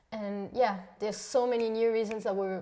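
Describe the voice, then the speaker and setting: Intonation stays fairly even as a woman talks with a non-native accent. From Switzerland. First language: not English. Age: young. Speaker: mission school student. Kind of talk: podcast interview. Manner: halting, many fillers.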